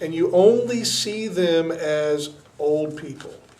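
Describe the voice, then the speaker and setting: Noticeable background noise fills the clip. Over it, a man talks with ordinary pitch variation. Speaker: youth group leader. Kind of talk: talk to youth group.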